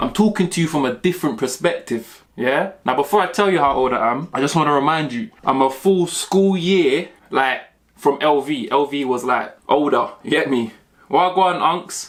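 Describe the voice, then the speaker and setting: With a London accent, a man speaks at a fairly high pitch and a moderate pace. His pitch varies in an ordinary way. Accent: London multicultural English. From South London, Mitcham. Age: 30s. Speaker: YouTuber, graphic designer. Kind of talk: casual Q&A vlog. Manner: animated.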